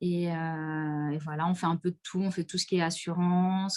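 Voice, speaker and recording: Here a woman speaks in a fairly low pitch at a fairly slow pace. Her intonation is monotone and flat. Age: 30s. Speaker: insurance and real estate entrepreneur. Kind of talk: casual interview. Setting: online live stream.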